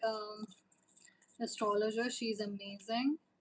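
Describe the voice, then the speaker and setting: At a fairly high pitch, a woman speaks somewhat breathily at a fairly slow pace with monotone, flat intonation. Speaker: tarot reader. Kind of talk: live stream chat with viewers. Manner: hesitant, many fillers.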